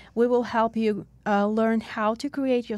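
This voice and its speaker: A woman with a Russian accent speaks at a medium pitch and a moderate pace, her intonation flat and monotone. The recording is very clean, with a silent background. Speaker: podcast host. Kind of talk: casual interview. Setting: studio.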